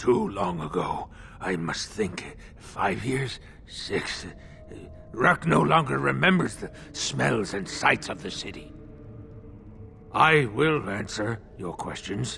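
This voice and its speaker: Over clear background noise, a man puts on a character voice with fairly low pitch and a fairly slow pace. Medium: video game. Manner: stammering, refers to himself in third person; nervous, broken.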